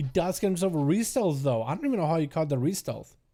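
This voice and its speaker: A dark, mellow tone at a very fast pace, with a slight Russian accent. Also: man. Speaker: gaming streamer and PvP commentator. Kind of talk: live game commentary. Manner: animated.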